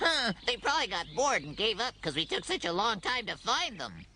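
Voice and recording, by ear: A cartoonish character voice with a fairly high pitch swings very widely and moves at a fairly quick pace. Clear background noise runs underneath.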